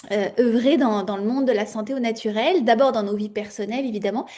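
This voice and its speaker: A woman's fairly high voice, dark and mellow in tone, at a fairly quick pace with ordinary pitch variation. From France. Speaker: natural health entrepreneur. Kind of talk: interview. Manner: hesitant, many fillers.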